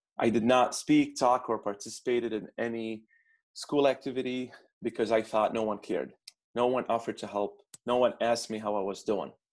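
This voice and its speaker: This speaker talks at a fairly quick pace in an Arabic accent with fairly even intonation. The recording is very clean, with a silent background. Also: man, medium pitch for a man. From Baghdad, Iraq. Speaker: immigrant student consultant. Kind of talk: interview conversation.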